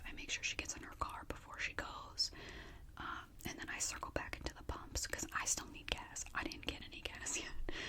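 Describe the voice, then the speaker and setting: Against noticeable background noise, a woman whispers at a fairly quick pace. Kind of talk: whispered story time, casual chatty talk to camera. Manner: whispered, chatty.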